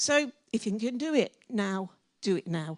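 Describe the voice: The recording of a woman is dry and close with no echo, and her tone is slightly mellow.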